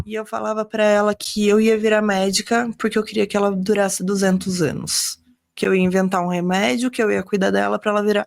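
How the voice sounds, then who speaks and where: A woman speaks at a fairly quick pace in a medium pitch. Hers is a plain, everyday voice with fairly even intonation. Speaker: doctor. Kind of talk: interview.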